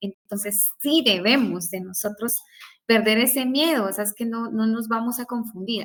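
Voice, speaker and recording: A woman's fairly high voice at a fairly slow pace. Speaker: law professor. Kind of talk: lecture.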